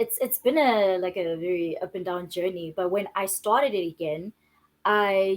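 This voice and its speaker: The speech carries a Zulu accent. It moves at a moderate pace with ordinary pitch variation. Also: woman, medium pitch for a woman. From South Africa, Johannesburg. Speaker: filmmaker and screenwriter. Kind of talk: interview.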